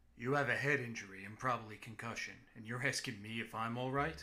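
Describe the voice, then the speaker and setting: A man puts on a gruff character voice at medium pitch. He talks at a very fast pace. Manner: curt, demanding, dry amusement.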